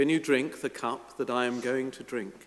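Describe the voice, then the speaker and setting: A man talks at a very slow pace, his pitch rising and falling in an ordinary way. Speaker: priest. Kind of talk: liturgical scripture reading. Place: church. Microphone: podium.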